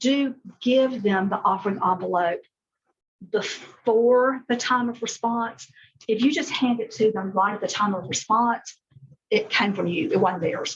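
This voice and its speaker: Using ordinary pitch variation, a woman with a fairly high pitch speaks at a fairly slow pace in an American accent. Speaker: children's ministry workshop leader. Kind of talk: workshop talk. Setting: church room with live audience, also streamed.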